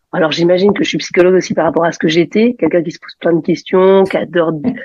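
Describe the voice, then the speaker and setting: A woman's fairly low-pitched voice at a very fast pace, with ordinary pitch variation and big swings in loudness. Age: 40s. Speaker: psychologist, single mother. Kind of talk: casual interview chat. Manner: hesitant, many fillers.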